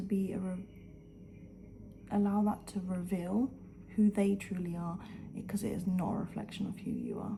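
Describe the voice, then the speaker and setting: A woman whispering in a somewhat breathy way at a moderate pace. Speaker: lifestyle vlogger. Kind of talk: motivational talk to camera. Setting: at home, early morning. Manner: animated.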